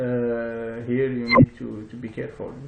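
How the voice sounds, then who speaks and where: A man with a non-native accent talks at a very slow pace. His pitch is medium and his intonation is monotone and flat. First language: not English. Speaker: software tutorial presenter. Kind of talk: tutorial. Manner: halting, many fillers.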